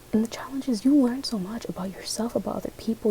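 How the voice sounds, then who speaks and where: A woman is soft-spoken, with ordinary pitch variation. Noticeable background noise can be heard. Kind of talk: ASMR dream reading, soft-spoken storytelling. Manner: soft-spoken, chatty, casual.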